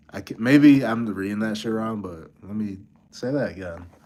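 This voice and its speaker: A man's dark, mellow tone amid audible room echo. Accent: American. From Buffalo, New York. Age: 30s. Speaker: beat producer, streamer. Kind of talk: casual live-stream chat. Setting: hotel room. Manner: casual, halting.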